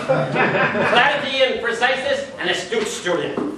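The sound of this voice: Audible room echo surrounds a man's put-on character voice, pitched extremely high for a man, with lively intonation at a very slow pace.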